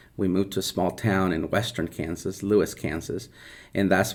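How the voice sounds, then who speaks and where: In a Spanish accent, a man speaks with a very deep, low pitch and vocal fry on a very clean recording with a silent background. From central Mexico. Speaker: elementary school teacher. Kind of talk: interview.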